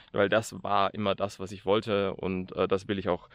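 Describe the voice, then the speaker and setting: A man with a fairly low pitch talks at a moderate pace, the sound dry with no echo and the background quiet. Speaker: hiker vlogger. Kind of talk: casual vlog chat. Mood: reflective, determined. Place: open country. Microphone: phone near.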